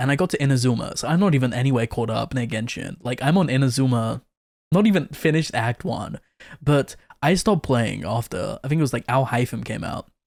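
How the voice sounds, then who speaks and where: Speaking in a British accent, a man with a medium pitch sounds animated, using lively intonation at a fairly quick pace. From Britain. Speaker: vtuber streamer reacting to videos. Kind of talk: casual reaction commentary.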